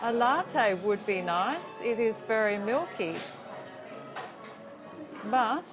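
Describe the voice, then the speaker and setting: With music in the background, a woman speaks at a very slow pace. Her voice is fairly high, in an Australian accent. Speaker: English teacher. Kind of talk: English lesson vlog to camera. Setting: cafe.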